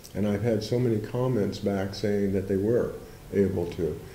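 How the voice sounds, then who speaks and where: A man speaks at a fairly low pitch and moderate pace. His pitch variation is ordinary, and audible room echo surrounds the voice. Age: 60s. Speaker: Zen teacher. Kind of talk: interview. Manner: halting.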